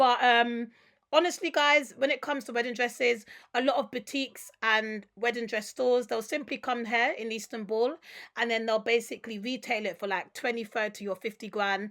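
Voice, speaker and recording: Animated in tone, a woman with a London accent speaks at a fairly high pitch with ordinary pitch variation. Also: moderate pace. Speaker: travel and wholesale vlogger. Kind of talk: vlog walkthrough.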